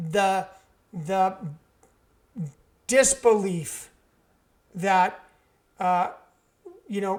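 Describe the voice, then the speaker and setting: This man's voice is squeaky and high-pitched, with ordinary pitch variation. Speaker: podcast co-host and author. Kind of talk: casual chat.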